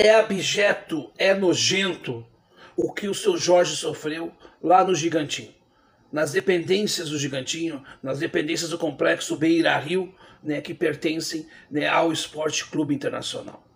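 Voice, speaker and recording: This man's voice sits at a high pitch, moving at a fairly slow pace with ordinary pitch variation. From Porto Alegre, southern Brazil; Rio Grande do Sul, Brazil. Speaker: online commentator. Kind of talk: opinion monologue. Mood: indignant, condemning. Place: home room. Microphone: webcam.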